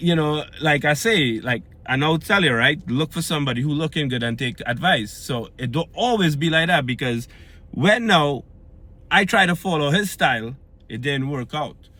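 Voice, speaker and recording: Animated in tone, a man speaks at a moderate pace with a fairly high pitch and lively intonation. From Trinidad and Tobago. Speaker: fitness vlogger. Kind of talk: casual vlog monologue. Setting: recorded after pulling into home yard. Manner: animated, conversational.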